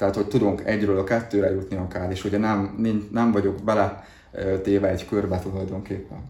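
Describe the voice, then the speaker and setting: A man's fairly low, dark, mellow voice, somewhat breathy and flat in intonation, at a fairly quick pace with audible room echo. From southern Slovakia (Hungarian minority, Dunajská Streda area). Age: 30s. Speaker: salesperson. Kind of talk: interview.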